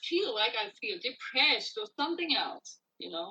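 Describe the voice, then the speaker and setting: A woman speaks with a non-native accent. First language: not English. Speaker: singer-songwriter. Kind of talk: interview.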